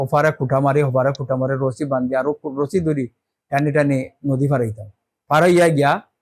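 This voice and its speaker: This man talks with fairly high pitch and fairly even intonation. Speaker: war veteran. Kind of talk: testimony.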